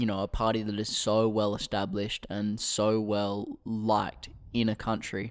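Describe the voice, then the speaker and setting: Speaking at a moderate pace, a man uses an Australian accent and fairly low pitch. The recording is very clean, with a silent background. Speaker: political podcast co-host. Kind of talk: casual chat.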